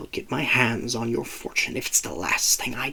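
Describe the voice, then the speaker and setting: A man speaks at a moderate pace in a whisper. His voice growls and hisses. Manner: hissing, whispering.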